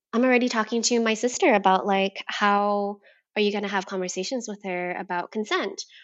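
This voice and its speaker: A woman at a medium pitch speaks with an American accent and fairly even intonation. It is a normal speaking voice. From US, Vietnamese American family. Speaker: gender equity educator. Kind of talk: casual chat.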